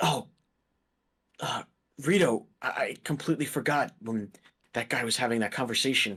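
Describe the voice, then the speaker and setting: A raspy, put-on character voice at a moderate pace, with long, frequent pauses. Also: man, medium pitch for a man. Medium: actual play. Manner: stammering, earnest.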